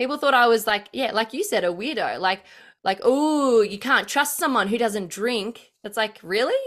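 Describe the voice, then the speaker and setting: Speaking at a moderate pace with lively intonation, a woman with a fairly high voice and an Australian accent is heard in a very clean recording with a silent background. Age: 30s. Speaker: political commentator. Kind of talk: casual chat.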